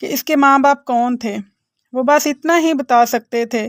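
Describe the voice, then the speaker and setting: The sound is dry and close with no echo as a woman speaks in a high pitch with ordinary pitch variation. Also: very clean recording, silent background. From Pakistan. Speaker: voice over artist. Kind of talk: moral story narration.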